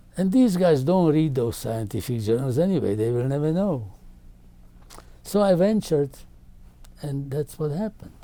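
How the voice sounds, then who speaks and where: A man with a Slovak accent, a dark, mellow tone and a fairly high pitch, very wide pitch swings and long, frequent pauses. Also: moderate pace. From Czechoslovakia. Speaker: carbohydrate chemist. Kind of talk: interview answer.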